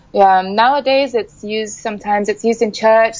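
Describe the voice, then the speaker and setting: A woman at medium pitch, talking at a very fast pace, with a dry sound and no echo. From Sarawak, Borneo, Malaysia. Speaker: musician and visual artist; guest. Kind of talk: interview. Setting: studio. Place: studio. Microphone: studio mic.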